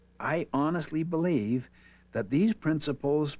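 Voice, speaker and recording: At a moderate pace, a man with an unremarkable speaking voice talks at a fairly high pitch on a very clean recording with a silent background. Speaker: author and teacher. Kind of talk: interview answer.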